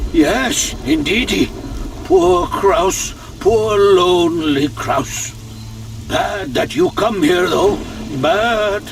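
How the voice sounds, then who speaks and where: In a put-on character voice, a man speaks at a very slow pace with a high pitch. Background noise is clearly audible. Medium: machinima. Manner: dry, sardonic.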